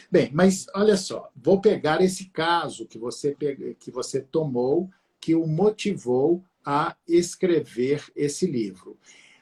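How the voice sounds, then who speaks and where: Very slow delivery with big swings in loudness and ordinary pitch variation. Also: man, high pitch for a man. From Minas Gerais, Brazil (Abaeté). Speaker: law professor, live stream host. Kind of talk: live-stream interview on family law. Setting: live stream. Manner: hesitant, many fillers.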